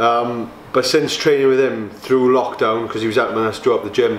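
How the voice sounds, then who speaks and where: A man talks at a fairly quick pace. Audible room echo and light background noise surround him. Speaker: bodybuilder vlogger. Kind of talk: casual vlog chat. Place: gym. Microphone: camera far.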